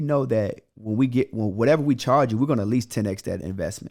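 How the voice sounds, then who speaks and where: An animated man speaks very fast at a medium pitch. His pitch varies in an ordinary way. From Chicago, South Side (Riverdale). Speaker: credit repair coach. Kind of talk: podcast interview.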